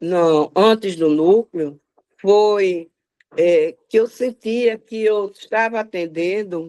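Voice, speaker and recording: Here a woman talks at a medium pitch with ordinary pitch variation. The sound is dry and close, with no echo. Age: 80s+. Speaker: psychoanalyst. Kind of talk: interview.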